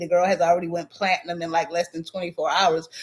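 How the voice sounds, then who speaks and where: A woman's medium-pitched voice with an American accent. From Southern Virginia. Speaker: YouTube drama commentator. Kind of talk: live stream chat, reading comments. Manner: casual, with filler words.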